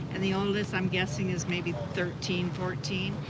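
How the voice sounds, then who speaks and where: Moderate-paced speech against noticeable background noise. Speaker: visitor to parliament. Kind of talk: casual chat. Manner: quiet.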